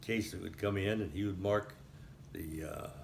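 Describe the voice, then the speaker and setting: Somewhat breathy and fairly low, a man speaks with an American accent and ordinary pitch variation at a moderate pace. Room echo is audible. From Texas, Highlands near Houston. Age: 80s+. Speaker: elderly local resident recounting town history. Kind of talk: oral history interview. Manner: halting, with frequent fillers.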